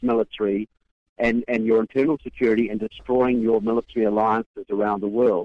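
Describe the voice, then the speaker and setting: A man talks at a fairly quick pace. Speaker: author and activist. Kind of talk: radio interview. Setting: phone call from conference. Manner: halting, filler words.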